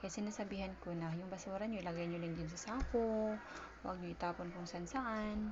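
A woman's medium-pitched voice at a fairly quick pace, with audible room echo and noticeable background noise. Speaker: vlogger and store vendor. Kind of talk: casual vlog narration. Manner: halting, many fillers.

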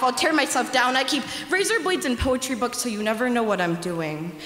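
Very fast speech with very wide pitch swings rings in audible room echo. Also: woman. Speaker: youth slam poet. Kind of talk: spoken word poetry performance. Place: hall. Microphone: handheld.

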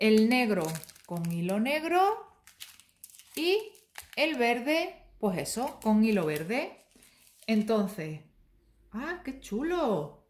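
At a very slow pace, a woman with a fairly high pitch swings her pitch very widely and leaves long, frequent pauses. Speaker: embroidery YouTuber. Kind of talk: product review tutorial. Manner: animated.

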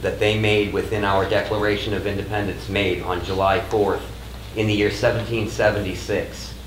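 Against light background noise and audible room echo, a man talks at a moderate pace with a fairly low pitch. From New England. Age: 30s. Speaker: medical cannabis patient. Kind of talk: testimony. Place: hall. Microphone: podium.

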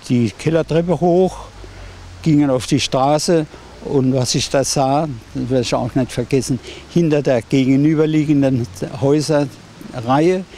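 A man at a very slow pace, dry sound with no echo, light background noise. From Ludwigshafen, Germany. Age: 80s+. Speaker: war eyewitness. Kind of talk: interview answer. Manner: hesitant, with many fillers. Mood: reflective, solemn recollection.

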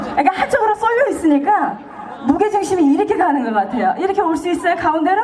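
Over crowd noise, a woman talks very fast in an extremely high, animated voice with lively intonation. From South Korea. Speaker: singer. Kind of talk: stage talk to audience between songs; stage banter to audience. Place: stage. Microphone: pa.

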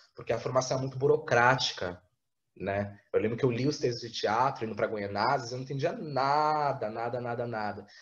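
Over a quiet background, a somewhat breathy man speaks at a moderate pace with ordinary pitch variation. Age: 20s. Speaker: theatre artist; interviewee. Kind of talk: interview. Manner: halting. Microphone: webcam.

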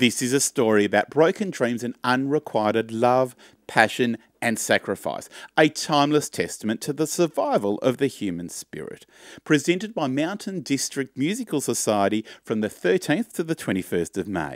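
Over a quiet background, a man speaks at a moderate pace with very wide pitch swings, the sound dry with no echo. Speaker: presenter. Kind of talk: show announcements, promotional read. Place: home room. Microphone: studio mic.

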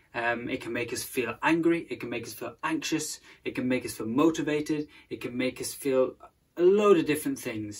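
A man speaks with ordinary pitch variation. His loudness swings widely. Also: moderate pace. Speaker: presenter. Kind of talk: sermon-style talk to camera. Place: home room. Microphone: phone near.

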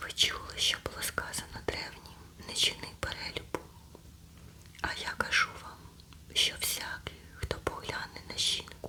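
Whispering at a fairly slow pace, a woman's loudness swings widely over noticeable background noise. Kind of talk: ASMR scripture reading. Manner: whispered, soft.

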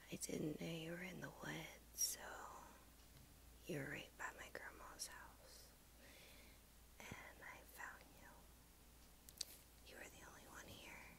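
A woman whispers in a gentle tone. She leaves long, frequent pauses. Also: fairly slow pace, big swings in loudness. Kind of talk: soft roleplay narration to the viewer. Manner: soft, gentle ASMR murmur. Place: home room. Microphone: earbuds.

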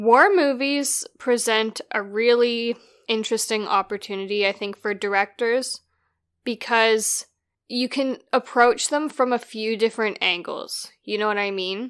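In a dry, close sound with no echo, a woman with an unremarkable speaking voice talks at a fairly slow pace, her fairly high pitch showing ordinary pitch variation. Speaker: podcast co-host. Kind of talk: casual chat.

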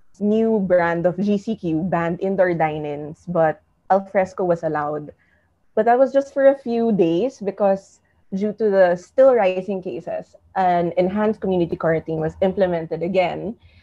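A woman keeps a moderate pace and ordinary pitch variation, with a quiet background behind her. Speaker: online show host. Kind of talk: interview host intro. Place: home room. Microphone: earbuds.

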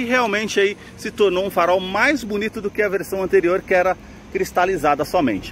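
At a fairly quick pace, a man speaks at a high pitch with ordinary pitch variation, in a dry sound with no echo and light background noise. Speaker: car channel host. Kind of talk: product walkaround commentary. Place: street. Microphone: phone near.

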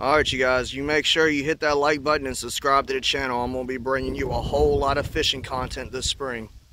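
Over noticeable background noise, a man talks very fast in a monotone, flat voice, and the sound is dry with no echo. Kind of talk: casual vlog chat. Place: waterside. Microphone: phone near.

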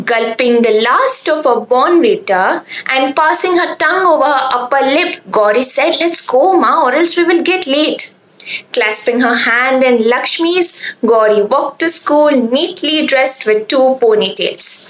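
At a fairly slow pace, a woman talks in a high voice with lively intonation. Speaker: student storyteller. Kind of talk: storytelling. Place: home room. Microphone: phone near.

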